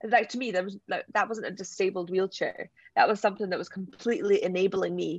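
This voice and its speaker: This woman has a Scottish accent. She speaks at a moderate pace. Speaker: Paralympic wheelchair sprinter. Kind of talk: interview.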